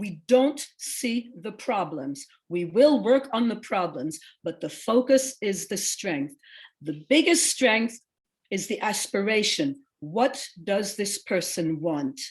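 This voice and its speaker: A woman speaks at a very slow pace in a somewhat breathy voice with very wide pitch swings. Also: quiet background. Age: 60s. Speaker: social worker.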